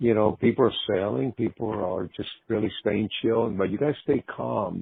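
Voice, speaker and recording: Having an unremarkable speaking voice, a man talks at a moderate pace and a fairly low pitch with ordinary pitch variation. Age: 60s. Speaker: rock guitarist. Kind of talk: casual chat.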